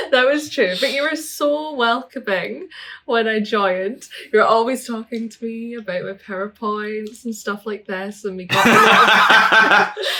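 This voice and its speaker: A woman with a Scottish accent, fairly high pitch, ordinary pitch variation, fairly slow pace, big swings in loudness and noticeable background noise. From Scotland. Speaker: English teacher. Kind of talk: casual chat.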